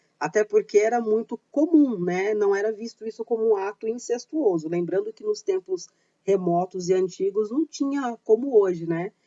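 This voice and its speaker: With a normal speaking voice, a woman talks at a moderate pace in a fairly high pitch, her intonation lively and hardly any pauses between words. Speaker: YouTuber on paganism and witchcraft. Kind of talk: informal educational talk.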